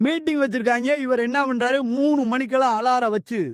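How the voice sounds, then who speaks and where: A man speaks at an extremely high pitch with ordinary pitch variation. The recording is very clean, with a silent background. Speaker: motivational speaker. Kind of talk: pattimandram speech. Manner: animated.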